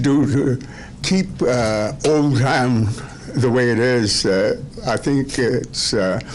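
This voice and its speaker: A man talks at a medium pitch with ordinary pitch variation. Noticeable background noise and audible room echo are present. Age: 80s+. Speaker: citizen speaking at council meeting. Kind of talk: public comment. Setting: council meeting room. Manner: halting, many fillers.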